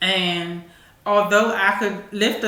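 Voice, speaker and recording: Speaking with an American accent, a woman delivers her words in a flat monotone amid audible room echo and noticeable background noise. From Washington DC. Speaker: talk show host. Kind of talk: casual commentary. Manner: halting.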